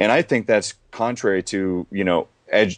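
A man talks in a normal speaking voice at a fairly low pitch and a moderate pace. The sound is dry and close with no echo, over a quiet background. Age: 20s. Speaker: travel company founder and author. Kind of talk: interview.

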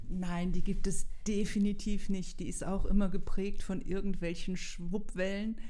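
The tone is dark and mellow, delivered in a flat monotone. The pace is fairly slow, with audible room echo. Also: woman, medium pitch for a woman. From Germany, Ruhr area (Bottrop). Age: 60s. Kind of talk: interview.

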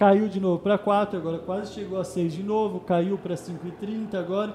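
A man's high-pitched, monotone voice at a moderate pace, with noticeable background noise. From São Paulo, East Zone (Penha). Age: 20s. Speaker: financial educator. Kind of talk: podcast interview.

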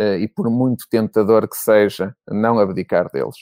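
A man's dark, mellow, fairly low voice at a moderate pace, dry and close with no echo, in a very clean recording with a silent background. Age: 40s. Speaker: business executive. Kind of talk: interview.

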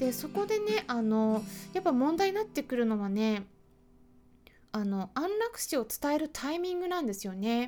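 A woman's high-pitched voice, dark and mellow in tone, with very wide pitch swings. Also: moderate pace. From Japan. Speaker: veterinarian and podcast host. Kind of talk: solo podcast talk. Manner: casual, with many fillers.

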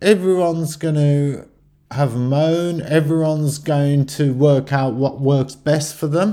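A man speaks fairly slowly with a fairly high pitch, a dark, mellow tone and fairly even intonation. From West Midlands, Stourbridge. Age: 50s. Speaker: podcaster. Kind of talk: solo monologue. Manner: halting, with false starts.

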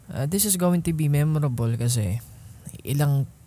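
A man with a fairly high pitch and ordinary pitch variation. His tone is dark and mellow, somewhat breathy. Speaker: podcast host. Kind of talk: casual monologue. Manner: halting.

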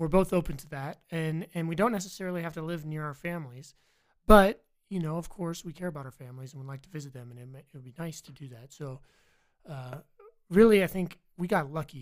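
This man talks very fast in an American accent, his voice fairly high. His pitch varies in an ordinary way, while his loudness swings a lot. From Virginia. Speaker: college student, military veteran. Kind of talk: casual interview chat.

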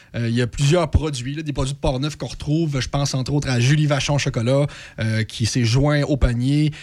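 A normal speaking voice, this man talks at a moderate pace with fairly high pitch and fairly even intonation. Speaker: regional youth program worker. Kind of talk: radio interview.

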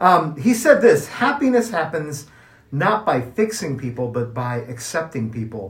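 Somewhat breathy, fairly high-pitched male voice at a fairly slow pace with very wide pitch swings. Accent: American. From US Midwest, Kansas City, Missouri. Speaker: podcast co-host. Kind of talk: casual chat.

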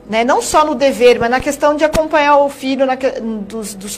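A woman's pitch varies in an ordinary way as noticeable background noise carries on. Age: 30s. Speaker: TV presenter. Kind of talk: TV interview.

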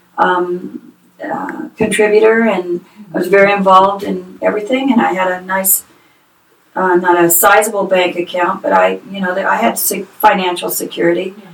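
A plain, everyday voice with an American accent, fairly even intonation and a moderate pace. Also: woman, medium pitch for a woman. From Northern California. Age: 50s. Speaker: nonprofit founder. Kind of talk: interview.

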